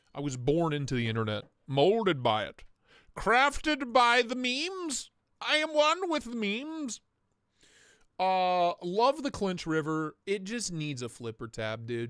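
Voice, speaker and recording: Very wide pitch swings mark this voice with an American accent, heard in a very clean recording with a silent background. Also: man, big swings in loudness. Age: 30s. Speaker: knife livestream host. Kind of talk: live stream chat. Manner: animated.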